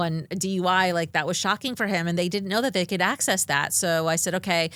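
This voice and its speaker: Her pitch sits in the medium range as a woman talks at a fairly quick pace. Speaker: investigative reporter. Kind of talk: casual chat. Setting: studio. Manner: fast.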